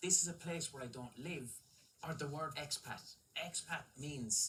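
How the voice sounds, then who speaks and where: A man speaks at a fairly high pitch. His tone is bright and sharp, with lively intonation. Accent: Irish. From Ireland. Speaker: comedian. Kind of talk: comedy panel chat.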